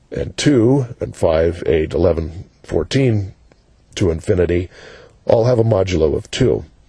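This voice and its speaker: Lively intonation marks this man's very deep, low pitch. He talks at a fairly slow pace and sounds somewhat breathy. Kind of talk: educational math explanation. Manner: casual, conversational with fillers.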